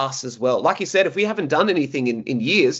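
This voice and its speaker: The voice carries an Australian accent. Its pitch varies in an ordinary way. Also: man. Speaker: podcast host, PE teacher. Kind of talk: podcast interview.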